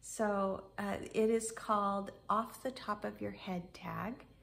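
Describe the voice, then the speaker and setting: A woman speaks at a very slow pace. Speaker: booktuber. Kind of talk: casual talk to camera.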